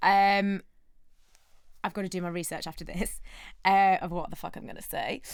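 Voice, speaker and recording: At a moderate pace and in a flat monotone, a woman talks with long, frequent pauses on a very clean recording with a silent background. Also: medium pitch for a woman, big swings in loudness. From northern England, Bolton. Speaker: TV presenter. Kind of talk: casual chat.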